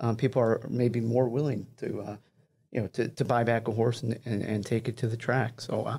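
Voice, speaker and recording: A man talks in a dark, mellow tone over a quiet background. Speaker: managing editor of racing publication; podcast co-host. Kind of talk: casual panel discussion. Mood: calm analytical. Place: studio. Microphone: studio mic.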